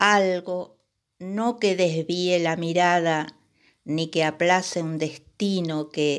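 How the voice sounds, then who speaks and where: Here a woman speaks at a very slow pace. Her pitch is fairly low and her intonation fairly even. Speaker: poet. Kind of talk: poetry reading at a live poetry event, introducing and reading two short poems. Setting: stage at a poetry event with audience.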